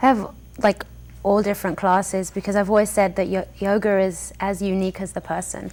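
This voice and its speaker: A woman's medium-pitched voice with an English accent, at a moderate pace. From England. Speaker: yoga studio owner and teacher. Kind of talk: interview.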